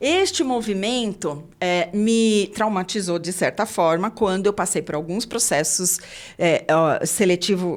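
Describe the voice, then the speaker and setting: A woman's medium-pitched, plain, everyday voice with ordinary pitch variation, on a very clean recording against a silent background. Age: 60s. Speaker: podcast host, HR consultant. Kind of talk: interview podcast.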